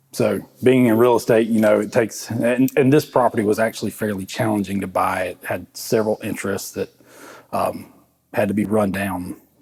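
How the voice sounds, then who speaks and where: A man in an American accent speaks fairly quickly, his fairly low voice holding fairly even intonation. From South Carolina (Gilbert, Lexington County). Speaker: distillery co-founder. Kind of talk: interview.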